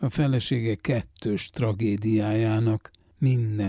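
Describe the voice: The intonation stays fairly even as someone does plain reading aloud.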